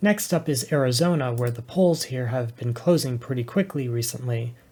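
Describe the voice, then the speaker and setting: A man talks at a moderate pace and medium pitch, somewhat breathy and dark, mellow in tone, with ordinary pitch variation. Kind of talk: political analysis commentary.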